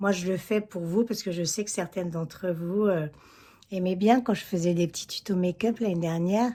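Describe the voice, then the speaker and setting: Recorded very cleanly against a silent background, a woman with an ordinary speaking voice talks at a medium pitch with ordinary pitch variation. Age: 60s. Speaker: beauty vlogger. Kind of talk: makeup tutorial. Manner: casual, chatty.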